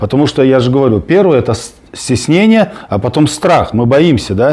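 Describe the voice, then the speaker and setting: A man's fairly high voice with very wide pitch swings at a moderate pace, over noticeable background noise. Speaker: political activist. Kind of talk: heated debate. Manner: halting, many fillers.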